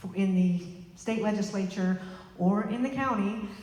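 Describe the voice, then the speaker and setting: Over noticeable background noise and audible room echo, a woman with an American accent speaks at a medium pitch with ordinary pitch variation. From Arkansas. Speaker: political candidate. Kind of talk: rally speech. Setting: rally with audience.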